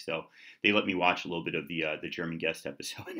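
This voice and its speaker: Speaking at a very fast pace, a man with a New York accent has a very deep, low pitch, a bright, sharp tone, and vocal fry. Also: quiet background. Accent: American, New York. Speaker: YouTuber. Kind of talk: casual vlog. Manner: loud; fast talker. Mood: relaxed, friendly. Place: kitchen. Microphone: webcam.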